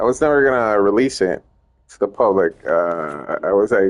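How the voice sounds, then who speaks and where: With a Spanish accent, the man speaks at a moderate speed. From Puerto Rico. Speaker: gaming streamer and ROM hacker. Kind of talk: casual gameplay stream chat. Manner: halting, many fillers and restarts.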